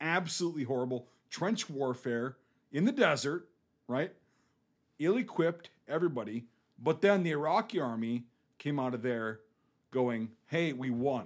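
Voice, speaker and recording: A man with a Northern Midwest accent talks at a moderate pace with lively intonation and long, frequent pauses, on a very clean recording with a silent background. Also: fairly high pitch for a man. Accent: Northern Midwest American. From US Midwest. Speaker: war veteran. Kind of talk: casual chat. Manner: profane, casual.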